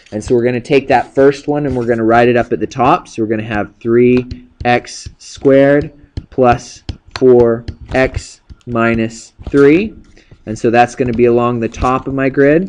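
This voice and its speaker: A man with a medium pitch speaks with fairly even intonation. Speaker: math teacher. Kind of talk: tutorial. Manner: fast; casual.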